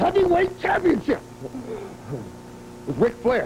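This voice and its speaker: Noticeable background noise is present throughout. A man's voice is heard over it. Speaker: professional wrestler. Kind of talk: wrestling promo. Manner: brash, boastful.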